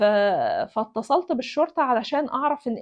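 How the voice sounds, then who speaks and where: The woman's high-pitched voice moves along at a moderate pace. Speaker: doctor and video blogger. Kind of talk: personal storytelling monologue. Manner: casual, hesitant with fillers and repetitions.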